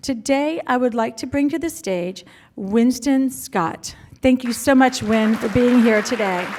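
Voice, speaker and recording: Speaking at a fairly slow pace, a woman uses a high pitch. Her pitch varies in an ordinary way. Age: 60s. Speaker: event emcee. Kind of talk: event introduction.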